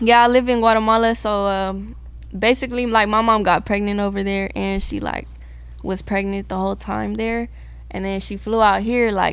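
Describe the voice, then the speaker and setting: With a Californian accent, a woman speaks at a moderate pace amid audible room echo. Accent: Californian urban American English. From San Diego, California. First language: Spanish. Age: young. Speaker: musician. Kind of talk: casual interview chat.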